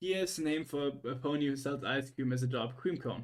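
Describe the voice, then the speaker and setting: This man speaks with a German accent at a moderate pace. His pitch is fairly high and varies in an ordinary way. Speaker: streamer. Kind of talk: casual chat. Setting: livestream. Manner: halting.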